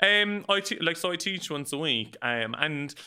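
A man speaks in a Cork accent. His pitch swings very widely. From Ireland, north side of Cork city. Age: 30s. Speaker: podcaster and professional dancer. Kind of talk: casual interview chat. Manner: animated.

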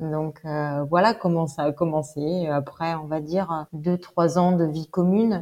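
A fairly low-pitched woman with a dark, mellow tone at a very slow pace, with hardly any pauses. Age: 30s. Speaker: bereaved mother retraining as pastry chef. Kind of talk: interview testimony. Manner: hesitant, many fillers.

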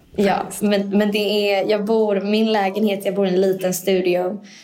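A woman's dark, mellow voice, medium in pitch, in a monotone, flat intonation, with audible room echo. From Sweden. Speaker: managing director. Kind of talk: casual interview. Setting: conference room.

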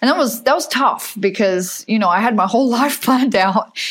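Speaking with an American accent, a woman is heard. Her pitch varies in an ordinary way. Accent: Australian with some American. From Perth, Western Australia. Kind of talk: casual interview chat.

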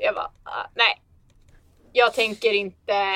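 The woman's voice sits at medium pitch. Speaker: flight attendant. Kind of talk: casual chat. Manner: animated.

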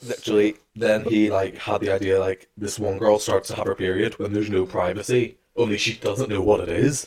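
A man's fairly low, somewhat breathy voice, fairly quick with hardly any pauses and fairly even intonation. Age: young. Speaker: podcast co-host. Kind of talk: casual chat.

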